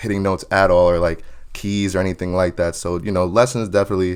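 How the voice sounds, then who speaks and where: A man with an American accent talks at a fairly quick pace. His pitch sits fairly low and his intonation stays fairly even. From New Jersey / New York area. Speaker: R&B singer. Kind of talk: interview. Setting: podcast.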